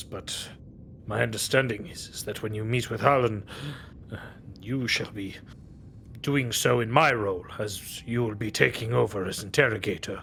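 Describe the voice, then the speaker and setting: A man uses a put-on character voice at medium pitch, with fairly even intonation and a moderate pace. Long, frequent pauses break up his speech, and clear background noise is present. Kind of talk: imperial officialese. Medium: actual play. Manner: formal, clipped, composed.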